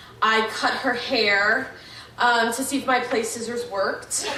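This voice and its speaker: Loud and very slow, a woman speaks at a high pitch with ordinary pitch variation, over noticeable background noise and audible room echo. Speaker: wedding toast giver, sibling of bride. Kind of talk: wedding toast. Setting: wedding reception with audience.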